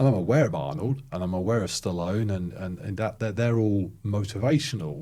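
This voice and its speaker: A man's fairly low, dark, mellow voice with a British accent, lively intonation, a fairly quick pace and hardly any pauses. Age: 50s. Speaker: podcast host. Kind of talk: podcast interview.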